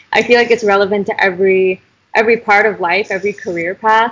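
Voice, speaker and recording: Very fast and flat, a woman with an American accent speaks at a medium pitch in a monotone. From US, Idaho. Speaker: university student and health advocate. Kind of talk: interview.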